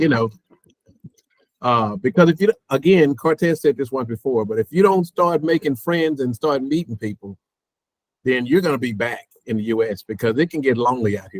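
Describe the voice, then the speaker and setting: A man speaks with a Texan accent and lively intonation. The sound is dry and close, with no echo. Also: medium pitch for a man, moderate pace. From Texas. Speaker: expat guest. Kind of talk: casual chat.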